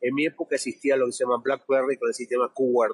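The voice belongs to a man. It sounds dry and close, without any echo. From Argentina, small town. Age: 50s. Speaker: financial analyst, technical analysis. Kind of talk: interview.

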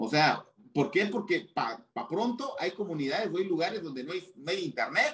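The man's voice is high for a man and swings very widely in pitch. He keeps a moderate pace. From Mexico, Chiapas. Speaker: tax and anti-money-laundering specialist. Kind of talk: interview. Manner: halting.

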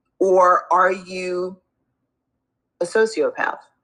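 A woman speaks at medium pitch. Her tone is warm and enthusiastic. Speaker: recovery and trauma coach. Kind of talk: casual interview chat. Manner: warm, enthusiastic.

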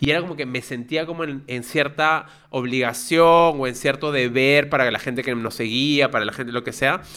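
A man with a plain, everyday voice, medium pitch, a moderate pace and hardly any pauses. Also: fairly even intonation. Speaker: podcast co-host. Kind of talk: casual chat.

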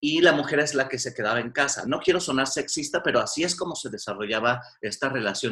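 A man's bright, sharp voice at a fairly quick pace, with lively intonation. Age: 40s. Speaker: psychotherapist. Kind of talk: casual chat.

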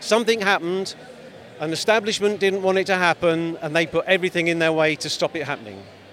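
This man has an English accent and a high pitch. He talks at a very fast pace over noticeable background noise. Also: ordinary pitch variation. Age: 60s. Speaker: street interviewee at a protest. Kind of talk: street interview. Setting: outdoors at a demonstration.

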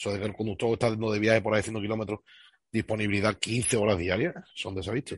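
The speaker goes at a fairly quick pace with ordinary pitch variation and a somewhat breathy quality, captured in a dry, close sound with no echo. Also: man. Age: 40s. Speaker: bus driver. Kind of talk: interview.

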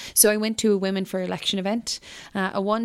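A woman with a western Irish accent speaking at a very fast pace, on a very clean recording with a silent background. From rural west of Ireland (Mayo/Galway border). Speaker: politician. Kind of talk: interview.

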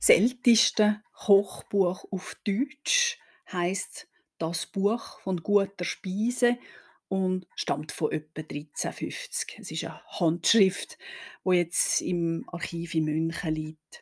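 At a very slow pace, a woman speaks at medium pitch in a somewhat breathy voice with ordinary pitch variation and big swings in loudness, in a very clean recording with a silent background and a dry, close sound with no echo. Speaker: historian podcast host. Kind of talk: history podcast narration.

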